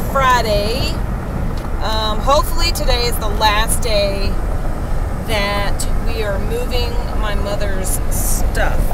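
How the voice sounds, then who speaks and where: The speech moves at a very slow pace with long, frequent pauses. Loud background noise runs behind it. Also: woman. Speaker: vlogger. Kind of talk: casual vlog chat. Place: car. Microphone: phone near.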